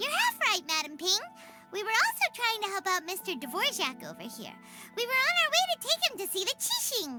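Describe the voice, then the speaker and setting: Over clear music in the background, a put-on character voice, squeaky and extremely high in pitch, moves at a fairly quick pace with very wide pitch swings. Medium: video game. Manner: chirpy, enthusiastic.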